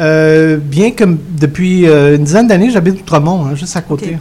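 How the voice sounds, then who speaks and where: A man talks with a high pitch. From Montreal (Côte-des-Neiges). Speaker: author. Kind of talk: radio interview.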